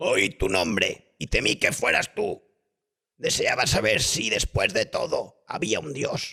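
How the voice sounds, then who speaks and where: A man puts on a raspy character voice. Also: fairly slow pace. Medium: read story.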